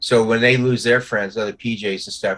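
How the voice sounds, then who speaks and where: The pace is very fast, with a bright, sharp tone and monotone, flat intonation. The recording is very clean, with a silent background. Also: man. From New York. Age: 70s. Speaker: Vietnam veteran. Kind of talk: casual chat. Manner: halting.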